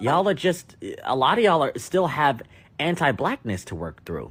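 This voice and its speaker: In a very clean recording with a silent background, a man speaks at a moderate pace in an animated tone, his fairly high pitch touched with vocal fry. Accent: American. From United States. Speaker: podcast host. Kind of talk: opinion rant.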